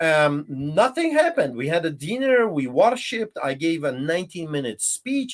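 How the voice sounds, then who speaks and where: Delivered at a moderate pace with a Polish accent, the voice sounds animated and swings very widely in pitch. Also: man. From Poland. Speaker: pastor. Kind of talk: interview testimony.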